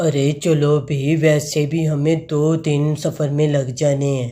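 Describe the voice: Using a cartoonish character voice, a man speaks fairly high and fairly slowly in a monotone, flat intonation.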